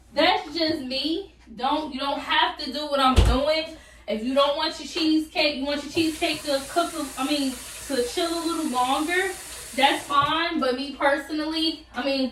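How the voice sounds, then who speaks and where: With noticeable background noise and audible room echo, a woman talks at a high pitch using fairly even intonation. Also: moderate pace. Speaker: YouTuber. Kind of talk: cooking tutorial. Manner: casual, chatty.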